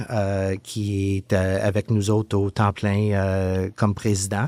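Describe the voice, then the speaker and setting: A man's fairly low voice, very slow and flat in a monotone, on a very clean recording with a silent background. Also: dry, close sound with no echo. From Quebec, Montreal. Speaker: communications director of a police association. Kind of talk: interview. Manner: halting, many hesitations.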